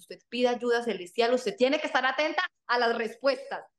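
A woman talks at a very fast pace. Her voice is high in pitch. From Colombia, various cities. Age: 30s. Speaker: fitness coach. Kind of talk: podcast interview.

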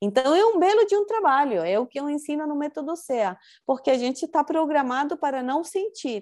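Using a dark, mellow tone, a woman speaks at a high pitch with very wide pitch swings. Her pace is moderate and the background quiet. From Chile. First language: Spanish (speaking Portuguese). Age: 40s. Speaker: spiritual teacher. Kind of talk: interview.

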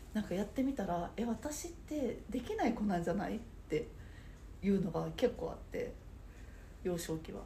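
A woman's fairly high, dark and mellow voice, somewhat breathy, with very wide pitch swings, a moderate pace, long and frequent pauses, and audible room echo. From Saitama. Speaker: nerikiri sweets instructor. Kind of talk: casual interview chat.

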